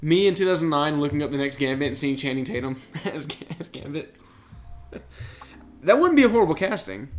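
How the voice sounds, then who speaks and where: With lively intonation and a fairly high pitch, a man speaks at a fairly quick pace but leaves long, frequent pauses. Noticeable background noise can be heard. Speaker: podcast co-host. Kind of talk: casual chat.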